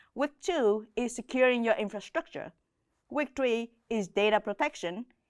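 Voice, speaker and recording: With a Vietnamese accent, a woman talks at a moderate pace and fairly high pitch with ordinary pitch variation, in a dry, close sound with no echo. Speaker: cloud solutions architect, course instructor. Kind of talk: online course intro.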